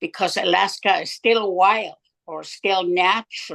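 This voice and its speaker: A woman with vocal fry speaks at a very slow pace in a dry, close sound with no echo. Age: 80s+. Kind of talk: speech.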